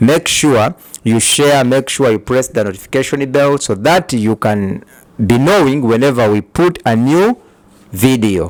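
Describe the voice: A man of medium pitch talks at a fairly slow pace with lively intonation.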